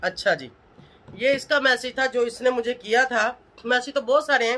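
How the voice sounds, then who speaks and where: The voice is a woman's. She talks at a moderate pace. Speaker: vlogger. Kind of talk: angry casual vlog rant. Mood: annoyed, scolding. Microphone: phone near.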